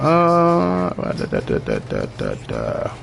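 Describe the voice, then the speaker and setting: In a room with audible echo and noticeable background noise, a man speaks with an American accent. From Baltimore, Maryland, US. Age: 30s. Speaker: video game streamer. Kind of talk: gameplay live stream commentary. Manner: casual, conversational.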